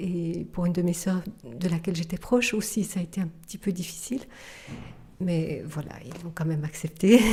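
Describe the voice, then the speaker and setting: A somewhat breathy, dark, mellow tone with ordinary pitch variation at a moderate pace. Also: woman. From Switzerland, Geneva. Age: 50s. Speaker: contemplative nun. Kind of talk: testimony interview. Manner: halting, many hesitations.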